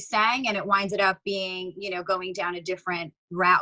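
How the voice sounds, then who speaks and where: A woman with a New York accent at a moderate pace. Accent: New York, sounds Long Island-ish. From New York, the Bronx. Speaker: singer and rapper. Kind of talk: interview. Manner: casual, filler-heavy.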